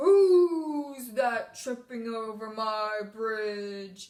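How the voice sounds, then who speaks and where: A put-on character voice, female-sounding and fairly high-pitched, at a very slow pace. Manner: menacing, growly.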